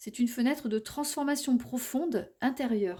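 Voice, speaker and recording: A woman's high-pitched voice has a dark, mellow tone and ordinary pitch variation. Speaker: tarot and oracle card reader. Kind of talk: oracle card reading for viewers. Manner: halting, many hesitations and repeats.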